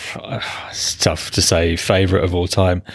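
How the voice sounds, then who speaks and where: A man with a British accent at a moderate pace. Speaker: podcast co-host. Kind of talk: casual chat.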